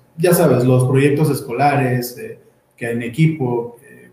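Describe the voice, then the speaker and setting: At a fairly slow pace, a man with a central Mexican accent speaks with fairly even intonation amid audible room echo. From Ixtapan de la Sal, State of Mexico. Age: 20s. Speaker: architect. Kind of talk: panel talk presenting architecture practice. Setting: video stream, sharing one camera with partners.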